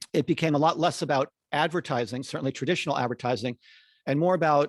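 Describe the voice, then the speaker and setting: A man with an American accent talks at a very fast pace and a fairly high pitch, with ordinary pitch variation. The sound is dry and close with no echo, over a quiet background. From Connecticut. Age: 60s. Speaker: marketing consultant, former ad agency CEO. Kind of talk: podcast interview. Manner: halting, many fillers and repetitions.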